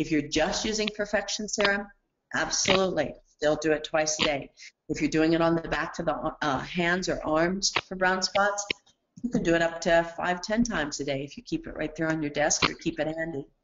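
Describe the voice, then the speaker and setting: A woman with a normal speaking voice talks at a fairly quick pace, using a fairly low pitch and ordinary pitch variation. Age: 60s. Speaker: skincare product formulator. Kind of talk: training webinar Q&A.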